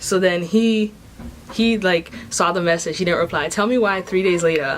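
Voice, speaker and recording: A woman speaks with very even loudness and ordinary pitch variation over noticeable background noise. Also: medium pitch for a woman, moderate pace. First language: not English. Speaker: vlogger. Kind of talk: casual vlog monologue. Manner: animated.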